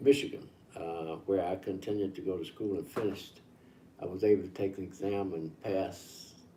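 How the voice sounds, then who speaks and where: A man's fairly low, somewhat breathy voice has a dark, mellow tone. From Mississippi, US South. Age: 80s+. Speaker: civil rights elder. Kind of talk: interview.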